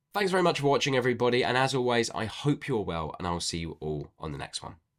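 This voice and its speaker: Talking at a very fast pace, a man at medium pitch makes very wide pitch swings. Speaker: book reviewer. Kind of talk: casual review video.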